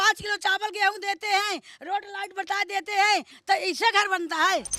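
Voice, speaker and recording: The voice is raised and projected, with a bright, sharp tone. Its intonation stays fairly even. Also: woman, dry, close sound with no echo. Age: 60s. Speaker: local resident interviewed on street. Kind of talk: street interview, angry complaint. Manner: halting, stammering restarts.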